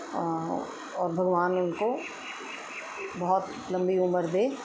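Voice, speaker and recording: Noticeable background noise and audible room echo are both present in this recording. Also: woman. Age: 60s. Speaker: resident. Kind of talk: testimonial.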